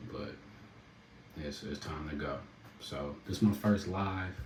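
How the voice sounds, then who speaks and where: A man speaks in a relaxed tone at a fairly slow pace. Noticeable background noise and audible room echo fill the recording. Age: adult, a dad. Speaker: rapper and entrepreneur. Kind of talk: casual livestream talk. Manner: relaxed, laid-back.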